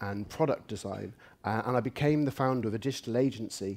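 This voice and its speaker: With an English accent, a man speaks at a medium pitch and moderate pace with ordinary pitch variation in a very clean recording over a silent background. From England. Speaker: UX researcher and conference speaker. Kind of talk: conference talk.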